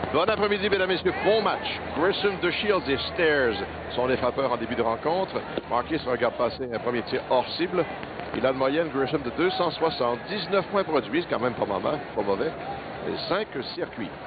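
There is noticeable background noise behind a man whose voice sounds dry, with no echo. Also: moderate pace. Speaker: play-by-play announcer. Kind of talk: commentary.

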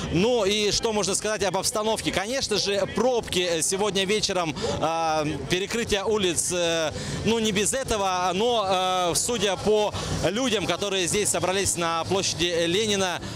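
The speaker moves at a fairly slow pace with fairly even intonation and very even loudness. The sound is dry with no echo, and there is noticeable background noise. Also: man, high pitch for a man. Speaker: TV news reporter. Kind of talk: live news report. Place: street. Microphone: handheld.

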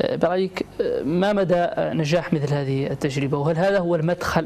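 At a very fast pace, a man speaks in a slightly mellow tone with ordinary pitch variation over faint background noise.

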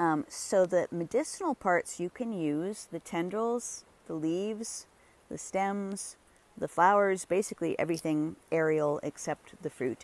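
A woman talks at a moderate pace with a fairly low pitch and lively intonation. The sound is dry, with no echo. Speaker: herbalist plant walk guide. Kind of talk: tutorial. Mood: warm, enthusiastic. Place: garden. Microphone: phone near.

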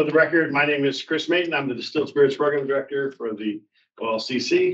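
The background is quiet. The speech moves at a very fast pace. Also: man. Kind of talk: meeting report. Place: home room. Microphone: video call.

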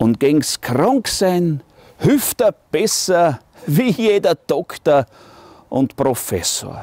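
Against a quiet background with a dry sound and no echo, a man with a Styrian accent talks at a very slow pace in a high pitch with very wide pitch swings. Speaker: musician. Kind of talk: poetry reading. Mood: humorous, warm, expressive. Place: garden.

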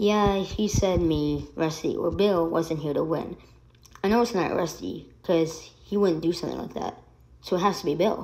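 In a put-on character voice, a female-sounding speaker sounds raspy, with fairly low pitch and a moderate pace. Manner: worried, pondering.

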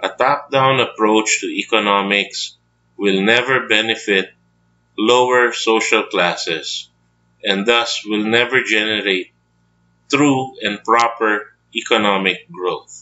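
A man speaks very slowly at a medium pitch, his intonation fairly even. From Philippines, Baguio City, Indian family. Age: 40s. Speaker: trader and finance educator. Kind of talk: scripted educational monologue.

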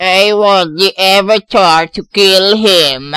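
A man puts on a cartoonish character voice, raised and projected at a high pitch with fairly even intonation. His pace is very slow, and the sound is dry and close with no echo. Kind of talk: comic overacting. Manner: pompous, gleefully unhinged.

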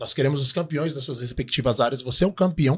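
Against a quiet background, a somewhat breathy man talks at a very fast pace. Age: 40s. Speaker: podcast co-host. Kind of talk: casual chat; sales pitch. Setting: studio. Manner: animated. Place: studio. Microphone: studio mic.

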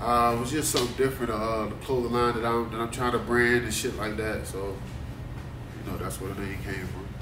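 Against noticeable background noise, a man with an American accent speaks at a moderate pace and medium pitch, with fairly even intonation and hardly any pauses. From Duplin County, North Carolina; North Carolina. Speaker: rapper; interviewee. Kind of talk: casual interview. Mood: relaxed, casual.

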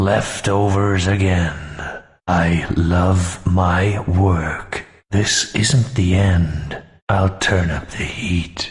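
A man's very deep, low voice at a very slow pace. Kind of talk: action game one-liners. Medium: machinima. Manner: gruff, deadpan, sardonic.

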